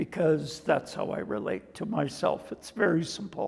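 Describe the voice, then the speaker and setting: The speaker has a Canadian accent and talks at a fairly slow pace. There is noticeable background noise. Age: 70s. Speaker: dancer and choreographer. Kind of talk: interview.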